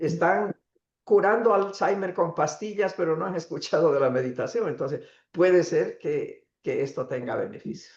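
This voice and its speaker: A man with a high voice speaks at a moderate pace, his pitch varying in an ordinary way, with a quiet background behind him. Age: 80s+. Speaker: invited speaker on meditation. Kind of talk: talk with questions. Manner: conversational with fillers.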